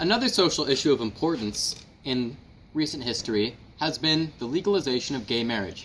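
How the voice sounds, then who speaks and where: With a plain, everyday voice, a man of fairly high pitch talks at a fairly quick pace with lively intonation. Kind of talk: mock infomercial pitch explaining a political view.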